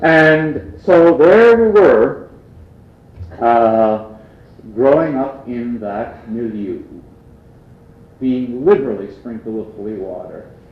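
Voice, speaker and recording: Speaking very slowly with long, frequent pauses, a man at a medium pitch uses lively intonation and big swings in loudness, with audible room echo around him. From Canada, Prince Edward Island (Acadian). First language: Acadian French. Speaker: lecturer. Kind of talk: lecture.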